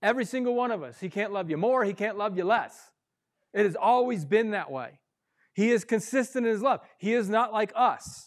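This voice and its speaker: In an animated tone, a man talks at a fairly quick pace with a high pitch and ordinary pitch variation. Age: 40s. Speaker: pastor. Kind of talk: sermon.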